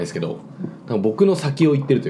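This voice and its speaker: A man talks at a very fast pace, his pitch fairly high and swinging very widely. Noticeable background noise runs underneath. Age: 20s. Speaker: podcast host and server-side engineer. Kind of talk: casual chat. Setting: home recording with drinks.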